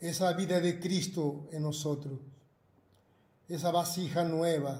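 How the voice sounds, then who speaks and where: At a very slow pace, the voice holds a dark, mellow tone and a monotone, flat intonation. Audible room echo surrounds it. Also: man, high pitch for a man. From Argentina. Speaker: pastor. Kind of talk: prayer. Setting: video broadcast. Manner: halting.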